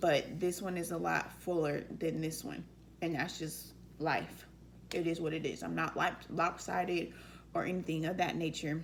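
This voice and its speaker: A woman speaks at a moderate pace. Room echo can be heard around her voice. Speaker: vlogger. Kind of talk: casual q&a vlog.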